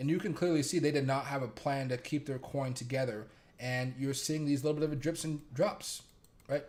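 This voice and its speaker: A man with a fairly high voice speaks at a moderate pace, sounding somewhat breathy. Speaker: crypto and stock market streamer. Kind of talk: live market commentary stream. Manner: monotone; casual, rambling with fillers.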